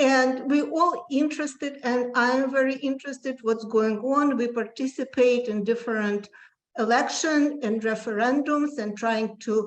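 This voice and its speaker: A woman with a Russian accent, high in pitch with ordinary pitch variation, at a fairly slow pace. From former Soviet Union. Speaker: public commenter. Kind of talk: public comment at hearing.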